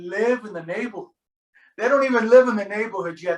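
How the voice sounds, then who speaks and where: A man speaks in a high voice with an American accent. His tone is animated, and his pitch moves in an ordinary way. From Miami, Florida (Hialeah). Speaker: deacon leading a faith formation class. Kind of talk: class discussion on a video call. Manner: animated, repeats words often.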